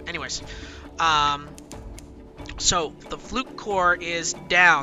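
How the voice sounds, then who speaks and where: Music plays in the background as a man speaks. His pitch is fairly high and his intonation fairly even. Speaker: video game let's play host. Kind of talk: casual gameplay commentary.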